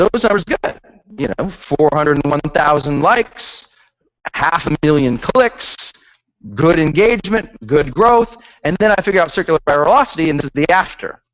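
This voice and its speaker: An animated man with a fairly high pitch and lively intonation, in a dry, close sound with no echo. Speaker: online marketing speaker. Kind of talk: conference presentation. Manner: fast.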